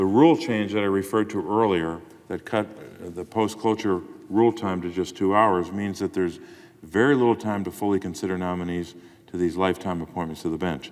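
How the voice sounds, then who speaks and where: This is an ordinary speaking voice from a man. He talks at a fairly quick pace with ordinary pitch variation. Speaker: U.S. senator. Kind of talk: Senate floor speech.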